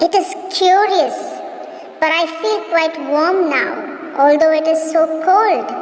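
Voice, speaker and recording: A put-on character voice with slight echo and clear background noise. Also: fairly slow pace. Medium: audio drama. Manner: light, slightly petulant.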